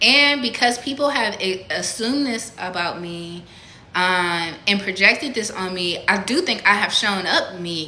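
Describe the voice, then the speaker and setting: In a room with audible echo, a woman speaks at a fairly slow pace with lively intonation. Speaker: spiritual content creator. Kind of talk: casual monologue. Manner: soft-spoken; halting.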